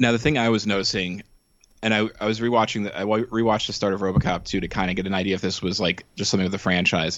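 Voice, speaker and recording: Very fast delivery with fairly even intonation. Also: man, fairly low pitch for a man. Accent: American. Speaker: podcast guest. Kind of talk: casual chat. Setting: remote call.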